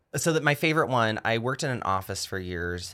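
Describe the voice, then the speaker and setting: A man talks with an American accent. His tone is bright and sharp. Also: very clean recording, silent background. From US South, rural North Georgia. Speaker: stand-up comedian. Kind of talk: casual chat.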